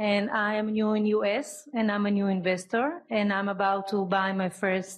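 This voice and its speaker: A woman with a non-native accent speaks at a moderate pace and medium pitch, with hardly any pauses, very even loudness, and ordinary pitch variation. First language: not English. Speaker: audience member, new investor. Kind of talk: audience question. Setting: speaking at audience microphone.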